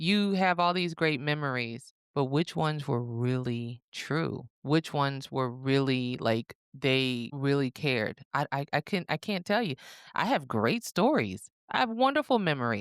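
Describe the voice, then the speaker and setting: The delivery is fairly slow, in a Southern US accent. Its intonation is lively. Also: woman, very deep, low pitch for a woman, dry, close sound with no echo, very clean recording, silent background. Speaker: podcast co-host. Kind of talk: casual chat.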